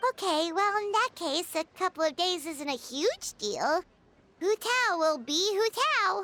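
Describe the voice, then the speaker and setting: Squeaky and extremely high in pitch, this is a put-on character voice. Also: fairly slow pace. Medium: video game. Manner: chatty, excitable.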